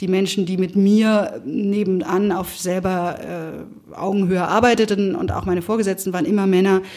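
At a moderate speed and medium pitch, a woman with an ordinary speaking voice keeps her intonation fairly even. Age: 50s. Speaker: managing director. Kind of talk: interview.

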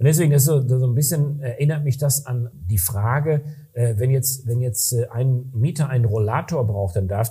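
A man's somewhat breathy, dark, mellow voice at medium pitch, moderate pace and ordinary pitch variation. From western Germany, Ruhr area (Recklinghausen). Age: middle-aged. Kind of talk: casual interview. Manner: hesitant with fillers.

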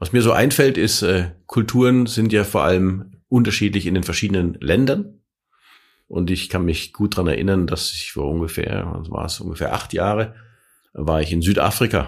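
A man's fairly low, plain, everyday voice at a moderate pace with ordinary pitch variation. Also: very clean recording, silent background. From Franconia, Germany (Nuremberg). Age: 50s. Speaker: corporate podcast co-host. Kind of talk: casual chat. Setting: company office.

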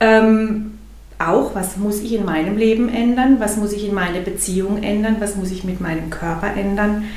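Noticeable background noise and audible room echo surround a voice with fairly even intonation. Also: woman, medium pitch for a woman, moderate pace. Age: 50s. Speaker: coach. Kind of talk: casual interview.

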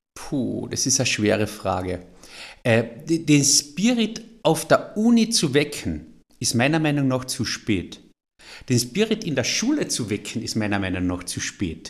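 At a fairly slow pace, a man talks at medium pitch with vocal fry and very wide pitch swings. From Austria, Carinthia. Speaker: entrepreneur. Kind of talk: interview.

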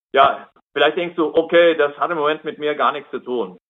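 The clip features a normal speaking voice. It moves at a moderate pace. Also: man. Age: 60s. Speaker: lay preacher. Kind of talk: sermon. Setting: video call.

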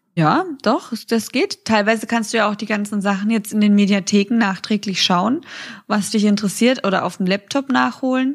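At a moderate pace, a woman talks with ordinary pitch variation in a somewhat breathy voice pitched fairly high. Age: 20s. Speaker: podcast co-host. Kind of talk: casual chat.

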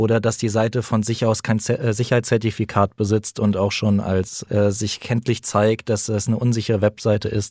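This man has a fairly low pitch and talks at a moderate pace with hardly any pauses. His intonation is monotone and flat, his loudness very even, and the very clean recording has a dry, close sound with no echo over a silent background. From Frankfurt, Germany. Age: 20s. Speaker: police detective. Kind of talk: interview.

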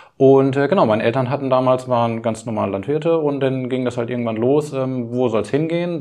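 A man talks at a fairly quick pace and medium pitch. His pitch varies in an ordinary way over noticeable background noise. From Lower Saxony, Schaumburg region. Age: 40s. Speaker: caterer and butcher running a family business. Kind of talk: interview.

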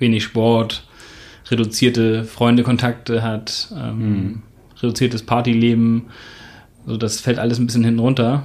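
The speaker's monotone, flat intonation is broken by long, frequent pauses. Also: man, medium pitch for a man, moderate pace. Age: 30s. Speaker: tax advisor. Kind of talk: interview.

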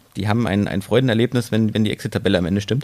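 A man's fairly low voice with a dark, mellow tone and fairly even intonation. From Thuringia, Germany (Erfurt). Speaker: copywriter. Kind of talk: interview.

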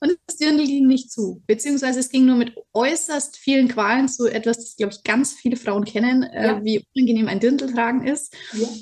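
This woman talks at a moderate pace with a high pitch and fairly even intonation, hardly pausing while her loudness swings widely. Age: 30s. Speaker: teacher and program participant. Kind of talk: interview testimony.

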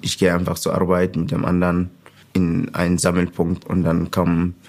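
With noticeable background noise behind him, a man with an Arabic accent talks at a moderate pace in a very deep, low pitch, his intonation fairly even. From Sudan. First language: Arabic (speaking German). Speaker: refugee, trainee mechanic and youth football coach. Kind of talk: interview testimony.

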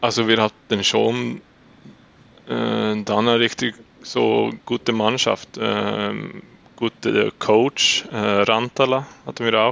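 This man talks with a Swedish accent. He delivers his words at a very slow pace. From Sweden, Uppsala. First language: Swedish (speaking German). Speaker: floorball goalkeeper. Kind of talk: interview. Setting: remote interview in the evening, guest has training later. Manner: halting, searching for words.

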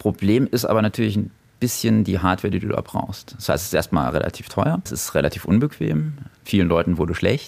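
A man's plain, everyday voice, fairly low in pitch, with lively intonation and a fairly quick pace. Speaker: video game shop owner. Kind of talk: casual interview. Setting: in his shop.

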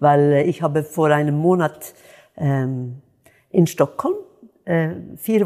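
Speaking in a Swedish accent, a woman has a dark, mellow tone. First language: Swedish (speaking German). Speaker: jazz singer. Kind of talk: interview.

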